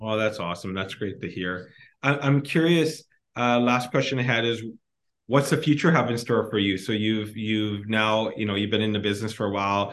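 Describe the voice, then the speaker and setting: A man with a plain, everyday voice speaks at a moderate pace in a fairly low pitch with ordinary pitch variation. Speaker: business podcast host. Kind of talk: casual interview chat.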